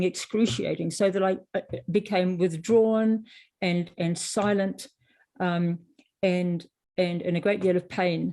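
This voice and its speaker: A woman's medium-pitched, dark, mellow voice with a New Zealand accent, at a fairly slow pace with fairly even intonation. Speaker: author. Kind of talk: interview. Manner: halting.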